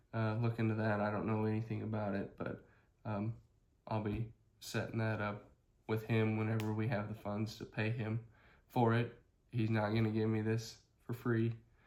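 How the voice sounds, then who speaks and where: A man's fairly low, flat, monotone voice at a moderate pace, broken by long, frequent pauses. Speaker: Pokemon card business YouTuber. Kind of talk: casual vlog monologue. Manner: many filler words and pauses.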